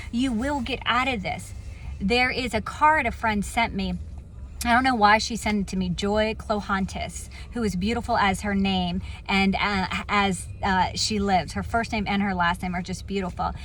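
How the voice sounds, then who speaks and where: In an American accent, a woman talks at a moderate pace. Room echo is audible. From Virginia Beach, US. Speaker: motivational speaker. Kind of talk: inspirational talk. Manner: casual, conversational.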